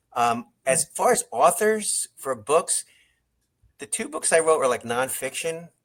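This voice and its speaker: Speaking with an American accent, a man with a fairly high voice moves at a fairly slow pace through very wide pitch swings. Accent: New York, faint, comes out when tired. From New York, Long Island. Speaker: songwriter and screenwriter. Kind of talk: interview. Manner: halting, many fillers.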